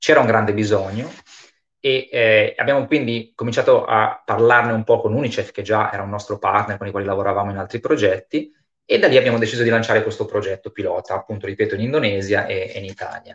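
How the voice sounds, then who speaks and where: A man talking at a very fast pace over a quiet background. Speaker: foundation project manager and webinar moderator; host or moderator of online panel. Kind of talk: webinar moderation. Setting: online webinar. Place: home room. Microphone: connected by mobile phone; video call.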